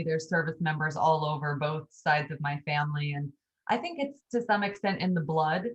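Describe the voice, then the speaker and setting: Speaking at a moderate pace, a woman has a fairly low, somewhat breathy voice. Her pitch varies in an ordinary way. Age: 40s. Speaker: author and EMT. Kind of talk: interview.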